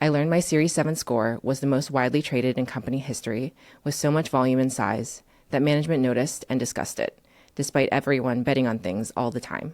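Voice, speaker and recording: In a very clean recording with a silent background, a woman speaks with a Chinese accent. Her very deep, low voice moves at a very fast pace with ordinary pitch variation. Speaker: writer and former trader. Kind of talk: reading aloud; interview.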